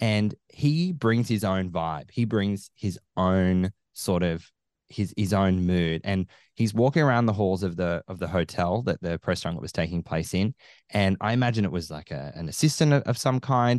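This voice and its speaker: With an Australian accent and lively intonation, the speaker talks at a moderate pace in a dry, close recording with no echo and a quiet background. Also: man, very deep, low pitch for a man. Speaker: film podcaster. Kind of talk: casual chat. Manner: animated.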